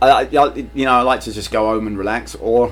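In a London accent, a man talks at a moderate pace. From London, England (Irish family). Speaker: high school PE teacher and soccer coach. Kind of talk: casual interview.

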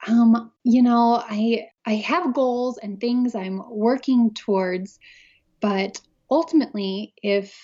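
A woman with fairly high pitch sounds nervous and somewhat breathy. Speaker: scrapbooking designer and teacher. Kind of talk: casual interview chat. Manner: introverted, nervous about speaking.

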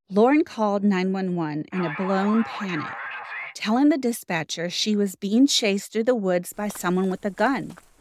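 Heard dry and close with no echo, a woman uses a plain, everyday voice of medium pitch, speaking at a moderate pace with lively intonation. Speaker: podcast host. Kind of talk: true-crime narration. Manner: measured, grave, steady storytelling with occasional wry asides.

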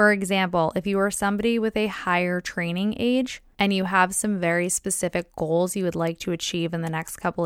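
A plain, everyday voice with ordinary pitch variation, in a very clean recording with a silent background and a dry, close sound with no echo. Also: woman. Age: 20s. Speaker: podcast host, personal trainer and sports nutritionist. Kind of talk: solo podcast monologue, educational. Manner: upbeat, casual.

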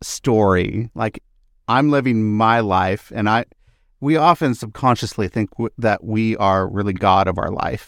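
An ordinary speaking voice from a man, medium pitch, fairly slow pace, ordinary pitch variation, dry, close sound with no echo. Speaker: podcast host. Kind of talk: interview conversation with intro. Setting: video call.

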